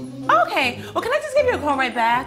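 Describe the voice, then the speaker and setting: Music plays behind a woman as she talks. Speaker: comedian, actress. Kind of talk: sitcom dialogue.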